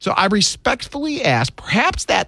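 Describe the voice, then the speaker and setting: A man with an American accent speaks in a raised, projected voice with a bright, sharp tone at a very slow pace. The recording is very clean, with a silent background. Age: 50s. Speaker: talk radio host. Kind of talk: talk radio monologue.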